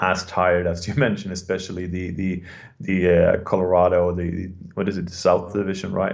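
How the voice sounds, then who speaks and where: A man at a moderate pace with a Swedish accent. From Sweden. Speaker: hockey writer. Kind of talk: casual interview. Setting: remote call.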